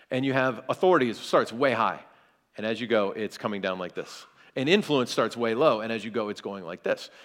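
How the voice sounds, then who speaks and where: Speaking at a fairly quick pace with an American accent, a man comes through on a very clean recording with a silent background. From US South, South Carolina. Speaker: pastor. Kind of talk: seminar talk.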